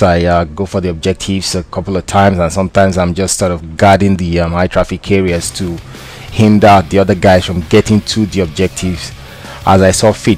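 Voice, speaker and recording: Over noticeable background noise, a man with a West African accent talks at a fairly quick pace in a very deep, low pitch. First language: not English. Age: 20s. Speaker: gaming commentator. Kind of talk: gameplay commentary. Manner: hesitant, many fillers.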